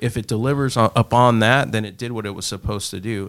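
A man with an American accent talks fairly quickly in an ordinary speaking voice, fairly low in pitch with fairly even intonation. The recording is very clean, with a silent background. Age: 40s. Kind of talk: casual conversational podcast chat.

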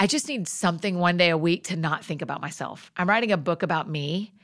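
In a very clean recording with a silent background, a woman with a Southern US accent talks at a fairly quick pace, her medium pitch moving with ordinary variation. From US South, Georgia. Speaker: author and speaker. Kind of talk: casual chat.

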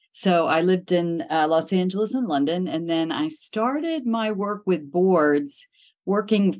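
An American accent marks this woman's normal speaking voice, fairly low in pitch with lively intonation, at a moderate pace over a quiet background. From western Pennsylvania, Pittsburgh area. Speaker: executive search consultant. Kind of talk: interview.

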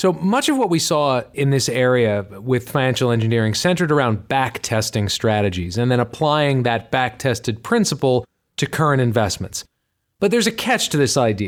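On a very clean recording with a silent background, a man speaks at a medium pitch and a moderate pace. His intonation is lively and his loudness is very even. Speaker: financial advisor and author. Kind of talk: casual chat. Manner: hesitant with filler words.

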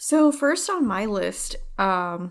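This is a woman speaking. Her pace is very slow. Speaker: podcast co-host. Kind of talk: casual chat.

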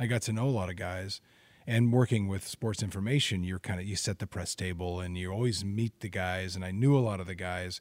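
With a plain, everyday voice, a man talks at a fairly quick pace in a fairly low pitch and fairly even intonation, the sound dry and close with no echo on a very clean recording with a silent background. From Oregon, Albany. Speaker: sports broadcaster. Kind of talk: casual chat.

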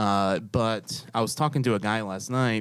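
In a plain, everyday voice, a man with an American accent talks at a moderate pace, his pitch fairly low with ordinary variation, on a very clean recording with a silent background. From New York. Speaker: podcast host. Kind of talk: casual chat. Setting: studio.

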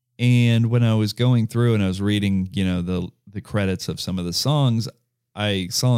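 The voice keeps a moderate pace and ordinary pitch variation in a dry, close sound with no echo. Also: man, very clean recording, silent background. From US South, Georgia (Lawrenceville, north of Atlanta). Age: 40s. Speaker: podcast host. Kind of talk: casual chat.

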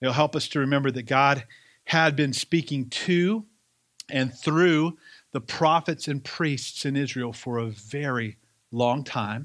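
Pitched fairly high, a man speaks at a fairly slow pace with a slight Southern US accent and ordinary pitch variation. The recording is very clean, with a silent background. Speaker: pastor. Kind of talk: sermon. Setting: church.

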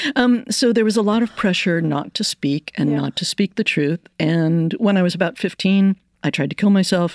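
A woman's plain, everyday voice at a moderate pace with ordinary pitch variation, dry and close with no echo in a very clean recording with a silent background. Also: medium pitch for a woman. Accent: American. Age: 60s. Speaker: poet and professor. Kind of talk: interview.

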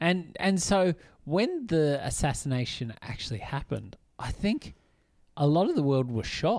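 A man with an Australian accent, fairly high in pitch with very wide pitch swings, at a moderate pace. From New South Wales, Australia. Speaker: film podcast co-host. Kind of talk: casual chat.

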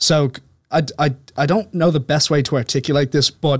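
A man speaks. He has an Irish accent. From Dublin, Ireland. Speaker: podcast guest, author. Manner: articulate.

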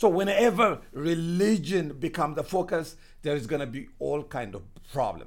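A man with vocal fry and a fairly high pitch talks at a fairly slow pace with lively intonation. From Ethiopia. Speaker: doctor and missionary. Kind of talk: interview testimony.

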